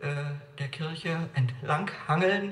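Audible room echo surrounds this man. He has a fairly high pitch and ordinary pitch variation. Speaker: evangelist and church speaker. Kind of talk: lecture. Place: church. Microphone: camera far.

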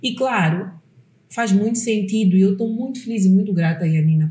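Somewhat breathy and dark, mellow in tone, a woman talks at a moderate pace with lively intonation in a room with audible echo. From Mozambique. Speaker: podcast host. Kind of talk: casual interview chat. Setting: studio. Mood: warm, engaged. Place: studio.

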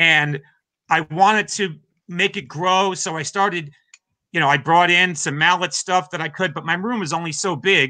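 Against a quiet background, a man talks at a high pitch and a moderate pace, his tone bright and sharp and his intonation fairly even. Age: 50s. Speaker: drummer and drum teacher; drum teacher. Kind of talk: interview. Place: home room.

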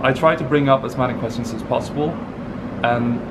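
A man with a Norwegian accent speaks at a moderate pace. His intonation is monotone and flat, with noticeable background noise behind him. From Norway. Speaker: polyglot, conference attendee. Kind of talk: casual interview. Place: street. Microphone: phone near.

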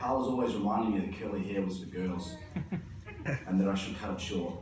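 A man's fairly low voice with fairly even intonation, audible room echo and light background noise. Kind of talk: eulogy speech. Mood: fond, lightly humorous, emotional. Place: church.

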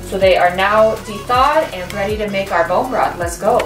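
With clear music in the background and audible room echo, a woman talks at a moderate pace with ordinary pitch variation. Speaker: cooking vlogger. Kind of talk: tutorial. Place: kitchen. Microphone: camera far.

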